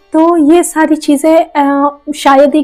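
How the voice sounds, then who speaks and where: A woman's voice, high in pitch. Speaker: manifestation coach and YouTuber. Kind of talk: casual vlog talk to viewers.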